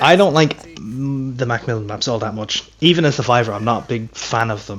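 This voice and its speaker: Over noticeable background noise, a man speaks at a fairly quick pace. His pitch is medium, with ordinary pitch variation. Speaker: gaming streamer. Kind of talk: gameplay commentary. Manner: loud; casual, animated.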